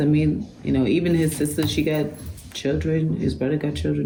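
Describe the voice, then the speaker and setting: A woman with a very deep, low voice speaks at a moderate pace, with audible room echo and noticeable background noise. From Germany. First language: German. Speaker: author. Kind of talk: book club interview. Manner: casual, conversational.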